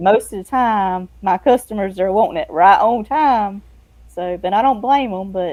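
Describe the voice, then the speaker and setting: The woman speaks at a moderate pace and medium pitch, with ordinary pitch variation. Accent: Southern US. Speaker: freelance editor and book layout designer. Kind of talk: casual interview chat. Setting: live streamed show.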